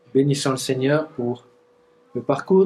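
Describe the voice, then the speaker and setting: With a Franche-Comté accent, a man speaks at a medium pitch and a fairly slow pace. Noticeable background noise runs behind him. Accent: Doubs regional French. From eastern France, Doubs (Montbéliard area). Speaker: pastor. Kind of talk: conference talk. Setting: church weekend gathering with audience. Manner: halting, with fillers and restarts.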